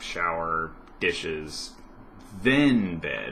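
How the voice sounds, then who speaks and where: A man speaks with a very deep, low pitch. Audible room echo surrounds his voice. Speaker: vlogger. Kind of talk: casual vlog chat. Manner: hesitant, many fillers.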